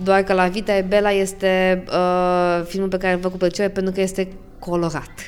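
Keeping very even loudness, a woman speaks at a fairly quick pace in a medium pitch with monotone, flat intonation. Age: 20s. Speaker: podcast host, lawyer. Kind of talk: podcast interview.

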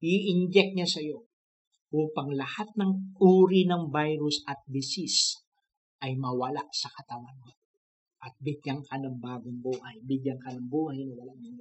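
Speaking fairly slowly with a warm, gentle tone, a man with a fairly high pitch sounds somewhat breathy, his loudness swinging widely and his pitch varying in an ordinary way.

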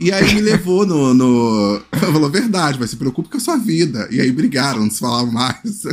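Pitch swings very widely at a moderate pace, with hardly any pauses. Noticeable background noise runs underneath. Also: man, fairly high pitch for a man. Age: 30s. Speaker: podcast host. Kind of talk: casual chat.

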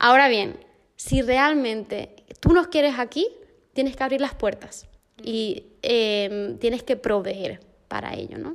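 A woman's high voice at a very slow pace, with lively intonation. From Argentina, raised in Canary Islands, Spain. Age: 20s. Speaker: missionary. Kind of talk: casual chat. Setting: at home.

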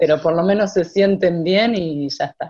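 A woman's fairly low, dark, mellow voice at a fairly slow pace, with ordinary pitch variation. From Argentina, Santa Rosa, La Pampa. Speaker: choir singer and vocal coach. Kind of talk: casual interview.

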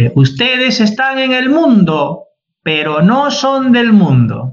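A man is speaking. His pitch swings very widely. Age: 40s. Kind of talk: casual chat.

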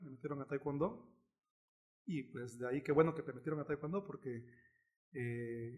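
A man has a plain, everyday voice. His pace is moderate and his pitch varies in an ordinary way. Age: 30s. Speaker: taekwondo coach. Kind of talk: interview.

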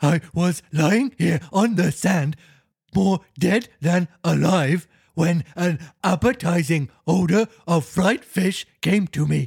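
A man's put-on character voice, growling and high-pitched, at a very slow pace. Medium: read story. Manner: barking, replacing sounds with R's.

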